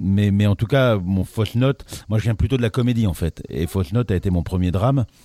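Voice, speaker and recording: Talking at a fairly quick pace with lively intonation, a man is heard in a dry, close sound with no echo over noticeable background noise. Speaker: playwright and theatre director. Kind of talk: casual chat.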